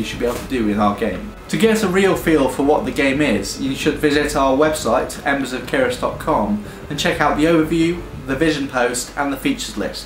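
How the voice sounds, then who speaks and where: A man with a fairly high voice talks at a moderate pace, his pitch swinging very widely. Audible room echo and noticeable background noise fill the recording. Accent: British. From UK. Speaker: game studio founder. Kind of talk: promotional pitch. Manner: hesitant with fillers.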